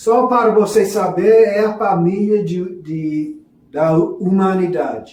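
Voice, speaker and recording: A man with a high voice and a non-native accent speaks very slowly. His pitch varies in an ordinary way, and room echo is audible. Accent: foreign accent in Portuguese, non-native. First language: English (speaking Portuguese). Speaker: religious teacher. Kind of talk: lecture. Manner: halting.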